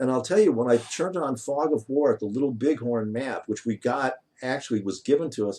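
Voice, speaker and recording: Against a quiet background, a man with a dark, mellow tone talks at a fairly quick pace with lively intonation. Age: 60s. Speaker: game developer and AI researcher. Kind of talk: interview. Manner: animated.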